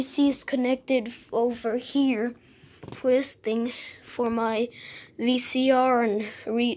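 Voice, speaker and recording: A woman speaks at a very slow pace with monotone, flat intonation. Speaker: home vlogger. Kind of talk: casual vlog chat. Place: garage. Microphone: phone near.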